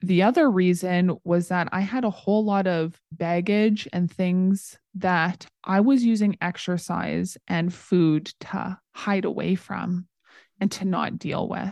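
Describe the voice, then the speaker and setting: A woman with a Canadian accent speaks very slowly at a medium pitch, in a dry, close sound with no echo and a quiet background. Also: fairly even intonation. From Canada, small-town Saskatchewan. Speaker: psychology student and former personal trainer. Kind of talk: casual interview.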